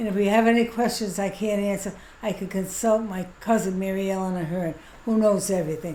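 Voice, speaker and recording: The voice has a dark, mellow tone and fairly even intonation at a fairly quick pace. Audible room echo surrounds it. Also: woman, medium pitch for a woman. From Providence, US. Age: 70s. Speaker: elderly local resident interviewee. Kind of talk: casual interview.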